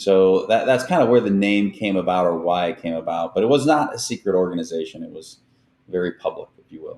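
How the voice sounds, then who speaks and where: The speaker has an American accent and a fairly quick pace. The intonation is lively. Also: man, fairly low pitch for a man. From US Midwest, Northwest Indiana. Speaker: cybersecurity executive, former Secret Service agent. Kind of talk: interview conversation.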